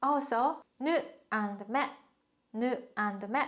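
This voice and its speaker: In a very clean recording with a silent background, a woman speaks with a Japanese accent. Her pitch is high, with ordinary variation. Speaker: language teacher. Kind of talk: tutorial.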